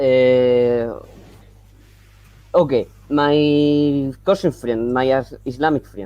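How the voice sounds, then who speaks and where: Speaking very slowly in a Spanish accent, the voice leaves long, frequent pauses. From Colombia. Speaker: caller wanting to convert. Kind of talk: casual live-stream conversation. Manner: halting.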